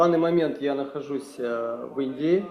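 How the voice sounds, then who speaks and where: There is noticeable background noise behind a man with a Russian accent. His pitch is fairly high and his intonation fairly even. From Kazakhstan. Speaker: meditation teacher. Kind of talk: talk to online meeting. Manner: halting.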